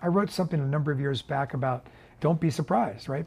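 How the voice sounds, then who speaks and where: A man with a fairly high, somewhat breathy voice talks at a very fast pace with lively intonation. The recording is very clean, with a silent background. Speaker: investor and fund portfolio manager. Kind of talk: interview. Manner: halting.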